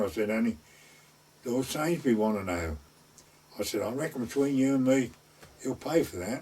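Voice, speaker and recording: Speaking fairly quickly with lively intonation, a man with an East Anglian accent uses a medium pitch. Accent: rural East Anglian dialect. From North Essex / West Suffolk border. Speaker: gamekeeper and gardener, traditional storyteller. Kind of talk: oral history storytelling.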